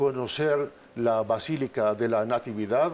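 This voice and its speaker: A man talks at a very slow pace. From Palestine, Bethlehem. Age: 60s. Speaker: diplomat. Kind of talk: interview. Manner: halting, many fillers.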